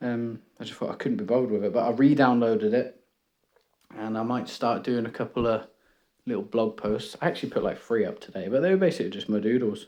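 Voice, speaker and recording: At a very fast pace, a man with a British accent speaks in a medium pitch with ordinary pitch variation. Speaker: art YouTuber. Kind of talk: casual chat. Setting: home room. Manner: rambling, hesitant.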